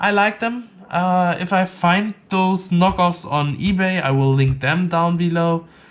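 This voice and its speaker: With a non-native accent, a man speaks at a fairly slow pace and high pitch with ordinary pitch variation and hardly any pauses. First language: not English. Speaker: tech reviewer. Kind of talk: product review. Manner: halting, many fillers.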